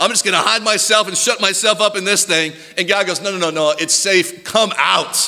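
A man's raised, projected voice at a fairly quick pace, with fairly even intonation. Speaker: preacher. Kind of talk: sermon. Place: church. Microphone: podium.

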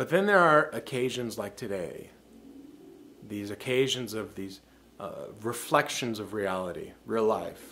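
A man speaks at a fairly slow pace with lively intonation. His tone is bright and sharp, with light background noise behind him. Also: big swings in loudness. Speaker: formal wear store employee. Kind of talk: casual talk to camera. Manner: reflective. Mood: reflective, earnest. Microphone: webcam.

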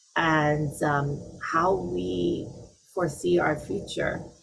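Speaking with a Hawaiian accent, the woman has a very deep, low pitch. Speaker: nonprofit organization leader. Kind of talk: panel discussion. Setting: video call.

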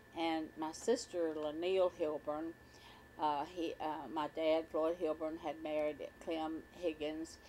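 With an Arkansas accent, a woman speaks very slowly in a very deep, low pitch. Her intonation is monotone and flat, over light background noise. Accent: Southern US (Arkansas). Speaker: retired country musician; interviewee. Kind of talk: oral history interview. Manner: halting with frequent fillers. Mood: reflective, nostalgic. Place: home room.

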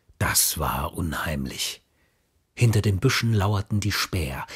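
A man speaks in a soothing tone. His voice has vocal fry. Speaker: audiobook narrator and father reading for his son. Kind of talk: children's bedtime story reading. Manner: calming, soothing.

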